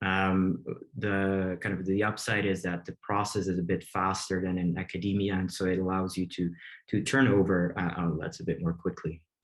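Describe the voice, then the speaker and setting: Against a quiet background, a man with a Flemish accent and very deep, low pitch speaks at a moderate pace with fairly even intonation. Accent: Belgian Dutch (Flemish) accent in English. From Belgium. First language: Dutch. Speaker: medical researcher and op-ed columnist. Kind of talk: webinar presentation. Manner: hesitant, many fillers.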